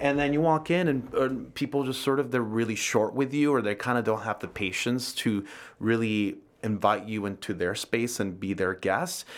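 Delivered at a moderate pace, a plain, everyday voice shows ordinary pitch variation. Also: man, medium pitch for a man. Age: 40s. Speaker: coffee roaster and business owner. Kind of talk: casual chat.

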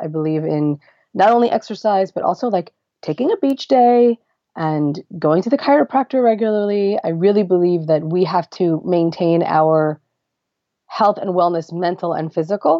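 A normal speaking voice with an American accent moves at a fairly quick pace with ordinary pitch variation. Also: woman. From US Northeast, Lakewood, New Jersey. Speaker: activist and writer. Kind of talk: interview conversation.

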